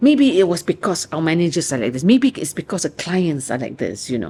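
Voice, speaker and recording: A woman with a Malaysian accent speaks in an animated, passionate tone, her pitch swinging very widely and her voice showing vocal fry. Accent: Malaysian English with local particles. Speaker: author and researcher. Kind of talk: interview answer. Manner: chatty, animated, passionate.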